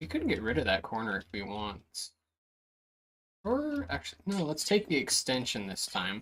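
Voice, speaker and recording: The voice is quiet and keeps a moderate pace. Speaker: gaming streamer. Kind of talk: live stream commentary. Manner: casual.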